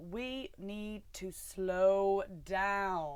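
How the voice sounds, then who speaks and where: With a Yorkshire accent, a woman speaks at a medium pitch. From Yorkshire, England. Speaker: running tips presenter.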